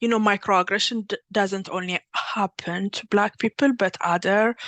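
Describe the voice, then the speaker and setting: A woman with an Ethiopian accent talks at a moderate pace and medium pitch, her intonation fairly even. The background is quiet. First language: Amharic. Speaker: workshop facilitator, PhD candidate. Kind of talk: workshop presentation. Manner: halting, many fillers and restarts.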